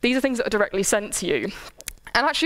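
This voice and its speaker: A woman speaks with a high pitch. Her tone is animated. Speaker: lecturer. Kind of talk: lecture.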